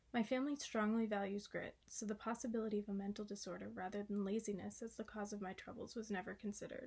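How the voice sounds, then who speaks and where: Speaking very fast with hardly any pauses, a woman with an American accent uses a medium pitch, a fairly even intonation and a somewhat breathy voice. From Massachusetts, US. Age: 20s. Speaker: college student. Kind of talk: reading aloud of a class essay.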